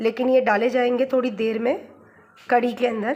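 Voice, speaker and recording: Delivery runs at a fairly slow pace. Its intonation stays monotone and flat. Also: woman. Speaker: vlogger. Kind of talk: casual vlog chat. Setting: at her parents' home kitchen.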